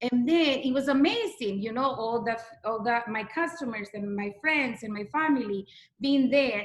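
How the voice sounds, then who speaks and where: With a strong non-native accent, a woman speaks at a fairly high pitch and a fairly slow pace with ordinary pitch variation. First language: not English. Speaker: direct sales consultant. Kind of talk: testimony.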